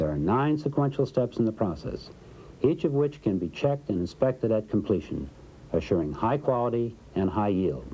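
Using very wide pitch swings and vocal fry, a man with a dark, mellow tone talks at a moderate pace. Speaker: corporate film narrator. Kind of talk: vintage industrial training-film narration, scripted and promotional. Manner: formal, even-paced, polished and authoritative; measured, dry, didactic. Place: studio.

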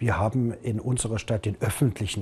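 A man with a dark, mellow, somewhat breathy voice talks at a moderate pace with ordinary pitch variation. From Saxony, Germany. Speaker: mayor; city mayor, politician. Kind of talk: interview. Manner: halting, many fillers. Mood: serious, concerned. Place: office.

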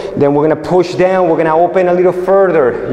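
There is audible room echo around this high-pitched man, whose intonation is fairly even. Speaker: martial arts instructor. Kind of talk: exercise instruction with counting. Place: gym.

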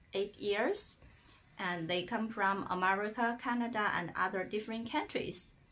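A woman speaks with a Chinese accent at a moderate pace. Her intonation stays fairly even. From China. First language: Mandarin. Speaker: online Chinese teacher. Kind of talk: self-introduction, promotional video. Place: home room. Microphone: phone near.

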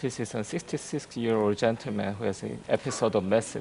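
Light background noise sits behind a man speaking. His pace is moderate, with ordinary pitch variation. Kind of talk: case presentation.

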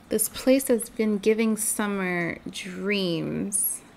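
Soft-spoken and fairly high-pitched, a woman talks with fairly even intonation over light background noise. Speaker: gamer. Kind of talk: casual gaming commentary. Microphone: studio mic.

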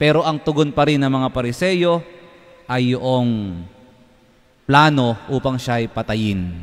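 A man speaks very slowly with lively intonation and long, frequent pauses. The background is quiet. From Philippines. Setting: church, live-streamed Mass. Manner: formal, solemn, measured. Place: church. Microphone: podium.

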